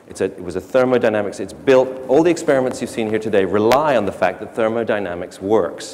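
The man talks at a very fast pace. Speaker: speaker. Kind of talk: lecture. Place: stage.

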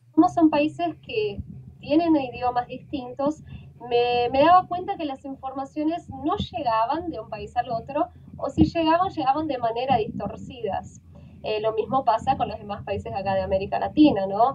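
With lively intonation and big swings in loudness, a high-pitched woman speaks at a moderate pace over light background noise. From Brazil. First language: Portuguese (speaking Spanish). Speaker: journalist; journalist guest. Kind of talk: interview. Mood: calm, earnest. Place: home room. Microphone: video call.

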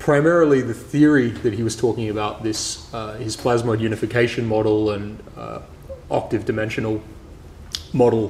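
A man speaks at a fairly low pitch and a moderate pace, with fairly even intonation and a slightly mellow tone. Faint background noise can be heard.

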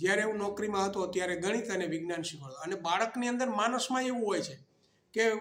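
Audible room echo hangs around the recording. The man speaking has a high pitch. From Gujarat, Saurashtra (Morbi district). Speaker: retired teacher. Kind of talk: interview.

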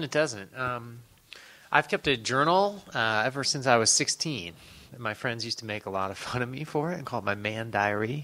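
A man with a Midwestern US accent and lively intonation. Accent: US Midwest. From rural Ohio, near Cleveland. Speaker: novelist; guest. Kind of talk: panel discussion. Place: hall.

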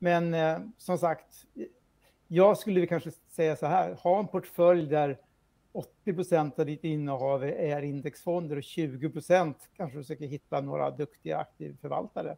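Fairly high pitch from a man with a dark, mellow tone, ordinary pitch variation and moderate pace, against a quiet background. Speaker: financial journalist. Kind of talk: news interview. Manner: halting. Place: home room.

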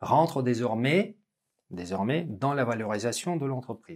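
A man speaks with lively, bouncing intonation. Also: quiet background. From Russia. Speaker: business school lecturer and interviewer; business school lecturer, interviewer. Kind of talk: interview conversation. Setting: business school campus. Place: studio.

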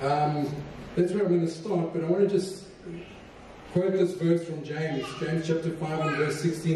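A man with a fairly high pitch and a dark, mellow tone speaks at a moderate pace with fairly even intonation, and audible room echo surrounds him.

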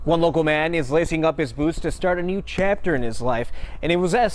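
With lively intonation, a man speaks at a very fast pace. Light background noise is present. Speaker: TV news reporter. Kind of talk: TV news field reporting, live stand-up and packaged story voiceover. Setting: outdoors, live on location.

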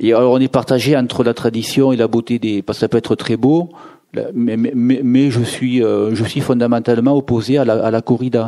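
At a moderate pace, a man speaks with monotone, flat intonation, a medium pitch and very even loudness. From southern France, Béziers. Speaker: novelist. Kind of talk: author talk at bookshop. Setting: bookshop event with audience. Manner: halting, repeats words.

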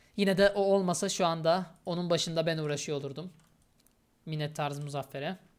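A woman speaks at a fairly quick pace with fairly low pitch and fairly even intonation, on a very clean recording with a silent background. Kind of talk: gameplay commentary. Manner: casual, with frequent filler hesitations.

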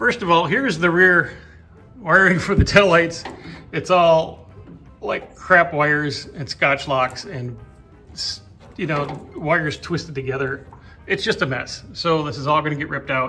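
A man at a fairly slow pace, with ordinary pitch variation and faint music in the background. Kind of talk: casual vlog chat. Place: garage. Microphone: phone near.

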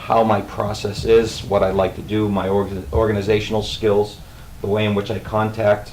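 Speaking at a moderate pace with a slight Boston accent, a man has a fairly low pitch. Room echo is audible and the background noise is noticeable. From Boston area. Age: 50s. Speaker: school food service director. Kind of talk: self-introduction at a public meeting. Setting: school committee meeting.

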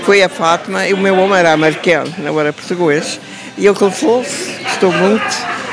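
Moderate pace and ordinary pitch variation, with a dry sound free of echo and crowd noise in the background. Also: woman, medium pitch for a woman. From California, of Azorean parents. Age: 90s. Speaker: elderly community member; interviewee. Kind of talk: interview. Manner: halting. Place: shop. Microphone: handheld.

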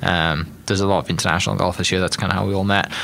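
With light background noise, a man with a British accent speaks in a very deep, low voice with a bright, sharp tone and flat, monotone intonation. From United Kingdom. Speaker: podcast host. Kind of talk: casual interview. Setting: studio. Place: studio. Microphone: studio mic.

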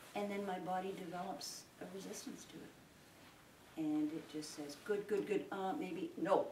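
A woman talks at a fairly slow pace with hardly any pauses, her loudness swinging widely. Light background noise and audible room echo surround her voice. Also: medium pitch for a woman, ordinary pitch variation. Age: 70s. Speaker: sheep farmer and public speaker; public speaker. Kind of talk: informal public talk to an audience. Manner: rambling, conversational, with many hesitations. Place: hall. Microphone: camera far.

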